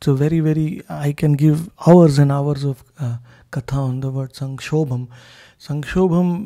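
On a quiet background, a man speaks at a moderate pace in a dark, mellow tone with fairly even intonation. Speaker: spiritual teacher. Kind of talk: scripture commentary talk. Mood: devotional, blissful. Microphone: handheld.

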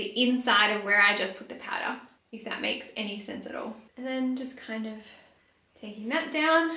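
Fairly high female voice with an Australian accent, a moderate pace, ordinary pitch variation, big swings in loudness and audible room echo. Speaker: beauty youtuber; beauty vlogger. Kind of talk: casual chat. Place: bathroom. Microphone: camera far.

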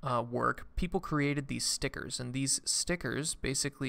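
A man talks with noticeable vocal fry. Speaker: tech streamer explaining a paper. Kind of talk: lecture. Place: home room.

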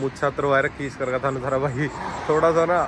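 Moderate pace from a man with fairly even intonation, a dry sound with no echo, and light background noise. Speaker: vlogger. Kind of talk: casual vlog chat. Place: street. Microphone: phone near.

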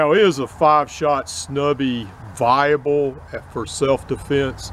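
A man is heard with light background noise and a dry sound with no echo. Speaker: fitness instructor. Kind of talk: tutorial commentary. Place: open country.

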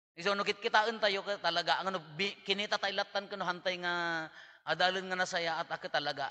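Against a quiet background, a man speaks at a moderate pace in a high pitch, his tone animated, bright and sharp. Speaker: priest giving homily. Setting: church. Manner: conversational, animated, jokes and laughs; mixes Ilocano, Tagalog and English. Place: church. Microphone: podium.

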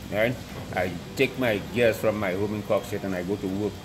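A man speaks at a moderate pace with fairly low pitch and fairly even intonation. Noticeable background noise runs underneath. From Dominica. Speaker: former national football goalkeeper. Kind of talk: interview. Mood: reminiscing, somewhat aggrieved. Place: stadium.

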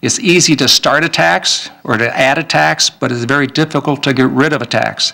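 A man with an American accent talks at medium pitch in a bright, sharp tone with vocal fry. His intonation is lively, and he moves at a moderate pace with hardly any pauses. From Minnesota. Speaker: state legislator. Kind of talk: candidate debate. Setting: public event with audience. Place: hall.

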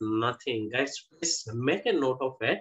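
The background stays quiet. A man talks very slowly. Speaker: interview host. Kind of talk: guest introduction. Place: home room. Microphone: video call.

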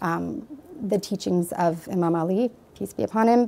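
A woman with a Canadian accent talks at a fairly slow pace, her fairly low pitch carrying a dark, mellow tone. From Canada. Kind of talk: testimony. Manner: halting. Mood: earnest, warm. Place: studio. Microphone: lapel.

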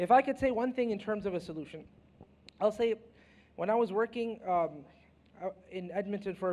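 A man is talking. His pace is fairly quick. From Canada. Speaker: Islamic scholar, panelist. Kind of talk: panel discussion. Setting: stage with audience. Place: stage. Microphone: handheld.

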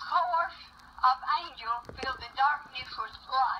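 A woman speaks in a high, raised and projected voice with lively intonation over noticeable background noise. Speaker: grandparent. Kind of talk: reading aloud.

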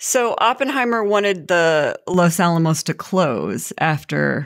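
On a very clean recording with a silent background, a woman speaks with lively intonation. Her pitch is fairly low, and she has an unremarkable speaking voice. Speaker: podcast host. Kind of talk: interview conversation.

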